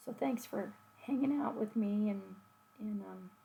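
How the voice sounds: She talks at a fairly slow pace, her dark, mellow tone carrying a slightly husky edge and some vocal fry. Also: medium pitch for a woman, ordinary pitch variation.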